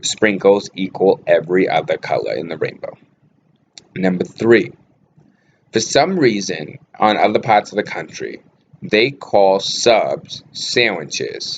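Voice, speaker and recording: At a fairly slow pace and with long, frequent pauses, a man speaks with a Boston accent. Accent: Boston accent, natural. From Boston area, Massachusetts. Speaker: vlogger, actor and model. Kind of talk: casual vlog talk. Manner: casual, with many fillers.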